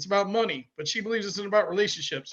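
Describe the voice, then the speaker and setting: A man speaks at a high pitch. His intonation is fairly even. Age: 70s. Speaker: networking event organizer. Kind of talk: sales pitch.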